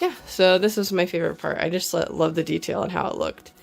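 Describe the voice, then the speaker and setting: A woman talks at a moderate pace. Music can be heard behind her. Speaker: cosplayer. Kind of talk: casual tutorial talk to camera. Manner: casual, hesitant with many fillers.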